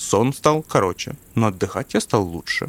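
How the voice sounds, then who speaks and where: A man with a normal speaking voice speaks at a moderate pace and medium pitch, with ordinary pitch variation, on a very clean recording with a silent background. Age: 60s. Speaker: farmer, former businessman. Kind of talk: testimony.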